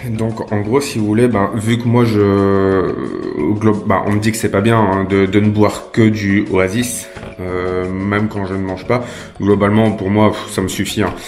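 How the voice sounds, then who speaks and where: Fairly low-pitched man, monotone and flat, at a fairly slow pace amid noticeable background noise and audible room echo. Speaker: YouTuber doing prank calls. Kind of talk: prank phone call. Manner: hesitant, many fillers.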